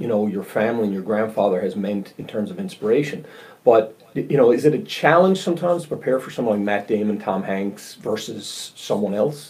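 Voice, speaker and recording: In a Newfoundland accent, a man speaks at a moderate pace. His pitch swings very widely. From Newfoundland, St. John's east end. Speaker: podcast host. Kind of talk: interview. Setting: video call.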